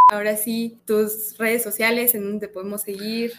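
At a fairly slow pace, a woman speaks in a monotone, flat way at a fairly high pitch. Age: 20s. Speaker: podcast host. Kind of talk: casual interview.

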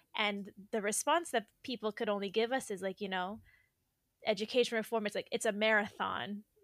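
This woman has an unremarkable speaking voice, fairly high in pitch with fairly even intonation. She talks at a fairly quick pace on a very clean recording with a silent background. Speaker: podcast co-host and teacher. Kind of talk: casual chat.

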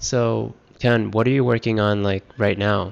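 Man's unremarkable speaking voice, fairly low in pitch, with fairly even intonation. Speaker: podcast host. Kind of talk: interview. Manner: casual, laughs often.

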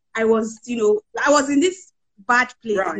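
A woman speaks at a moderate pace with a fairly high pitch and a somewhat breathy voice. The sound is dry and close, with no echo. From Nigeria. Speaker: author, coach and tech founder. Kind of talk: interview. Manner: energetic.

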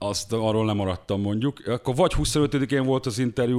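The speaker has an unremarkable speaking voice. The pace is moderate and the pitch variation ordinary. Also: man. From Hungary. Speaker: book translator and music journalist. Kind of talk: casual interview chat.

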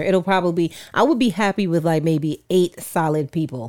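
An animated tone in a very clean recording with a silent background and a dry, close sound with no echo. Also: woman. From New York City, Queens. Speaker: podcast co-host. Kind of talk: casual chat.

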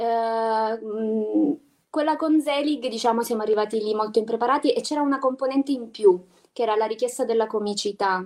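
Fairly high in pitch, a woman speaks at a moderate pace. Her pitch variation is ordinary. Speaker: physical theatre actress and voice actor. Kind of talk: casual chat. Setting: video call.

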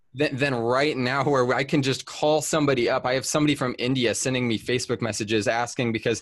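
The pitch sits in the medium range for a man. He keeps up a fairly quick pace. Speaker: online pastor. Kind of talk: panel discussion. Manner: halting, repeats words.

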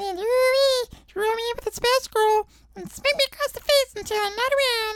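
A squeaky, put-on character voice rises to an extremely high pitch. It moves at a moderate pace.

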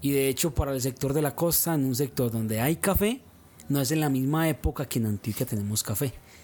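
An ordinary speaking voice at a fairly quick pace, with very even loudness. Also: man, medium pitch for a man, ordinary pitch variation. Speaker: avocado farmer. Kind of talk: casual chat.

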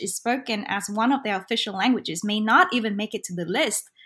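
The very clean recording, with a silent background, carries a woman's fairly high pitch. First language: Vietnamese. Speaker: ESL teacher. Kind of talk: interview.

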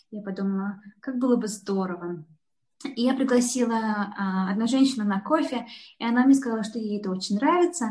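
At a moderate pace, a woman speaks in an unremarkable speaking voice, fairly high in pitch with ordinary pitch variation. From Uzbekistan, Tashkent. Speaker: florist and business owner. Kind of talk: interview.

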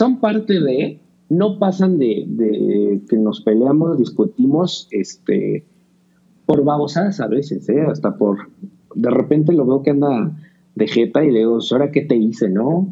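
A man speaks at a fairly slow pace in a fairly high voice. His pitch swings very widely, while his loudness stays very even. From Mexico. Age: 30s. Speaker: podcaster. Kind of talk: casual chat.

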